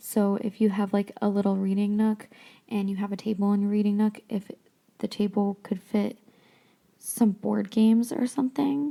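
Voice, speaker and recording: Somewhat breathy, the voice moves at a moderate pace with fairly even intonation. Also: woman, medium pitch for a woman. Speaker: podcast host. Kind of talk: casual book discussion podcast. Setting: home craft room. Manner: quieter than usual, speaking softly; hesitant, many ums and restarts.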